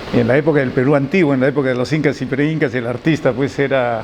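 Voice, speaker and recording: A man speaks at a fairly high pitch with fairly even intonation. Noticeable background noise runs underneath. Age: 60s. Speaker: architect and sculptor. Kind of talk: interview. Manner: halting.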